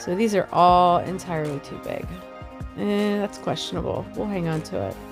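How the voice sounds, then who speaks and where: Moderate pace with music in the background. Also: woman. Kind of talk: DIY tutorial talk to camera.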